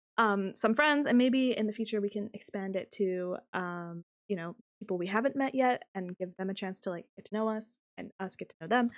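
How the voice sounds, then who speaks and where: A woman speaks at a moderate pace and medium pitch with ordinary pitch variation. Her loudness swings widely in a dry, close sound with no echo. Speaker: streamer and podcast co-host. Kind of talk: casual chat.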